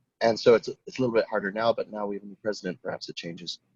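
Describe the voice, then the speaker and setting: With an American accent, a man speaks at a very fast pace, the sound dry and close with no echo. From United States. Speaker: design teacher. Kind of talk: casual chat.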